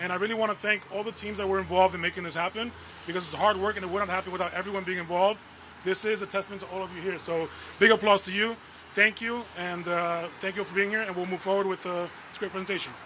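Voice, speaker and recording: A man with an American accent uses a raised, projected voice at a high pitch and a very fast pace. His intonation is monotone and flat against noticeable background noise. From New York City, the Bronx. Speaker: borough transportation commissioner. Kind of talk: press conference speech.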